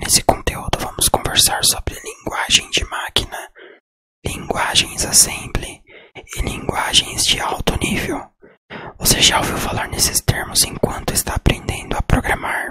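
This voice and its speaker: A man is whispering. His pace is fairly slow. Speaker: programming teacher. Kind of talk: ASMR educational whisper. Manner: whispered.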